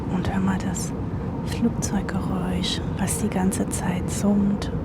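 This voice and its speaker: The speaker whispers very slowly. Noticeable background noise can be heard. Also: woman. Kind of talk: casual ASMR roleplay talking to a nervous airline seatmate. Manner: soft-spoken, whispered, calming.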